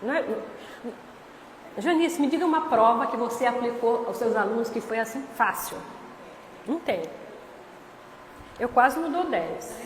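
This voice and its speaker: With long, frequent pauses, a woman speaks at a high pitch with ordinary pitch variation, amid audible room echo and noticeable background noise. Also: fairly slow pace. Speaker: spiritist lecturer. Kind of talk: lecture.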